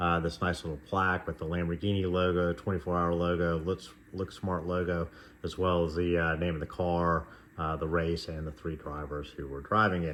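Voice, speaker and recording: At a moderate pace, a man speaks in a very deep, low pitch with monotone, flat intonation. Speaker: model car reviewer. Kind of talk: casual product review. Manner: hesitant, many fillers.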